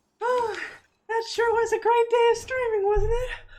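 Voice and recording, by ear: The put-on character voice sits at an extremely high pitch. It moves at a moderate pace with monotone, flat intonation.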